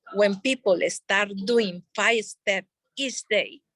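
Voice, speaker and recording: A woman's fairly high, bright, sharp voice with a non-native accent, in a dry, close sound with no echo. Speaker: network marketing leader. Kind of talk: sales training talk.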